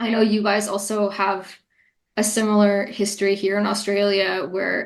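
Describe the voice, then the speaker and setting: A woman with a Montreal accent speaks at medium pitch and a moderate pace, her intonation monotone and flat. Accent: Montreal English-speaking Canadian. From Montreal, Quebec, Canada. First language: Italian. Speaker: poet and English teacher. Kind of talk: interview conversation.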